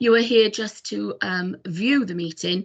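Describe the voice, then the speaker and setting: Speaking at a fairly slow pace, a woman with a Welsh accent uses lively intonation. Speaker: committee chair. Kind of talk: formal meeting chairing. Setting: video call. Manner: hesitant, many fillers.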